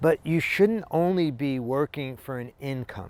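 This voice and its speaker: An unremarkable speaking voice from a man, with lively intonation and a fairly slow pace, on a very clean recording with a silent background. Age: 60s. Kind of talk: motivational talk to camera.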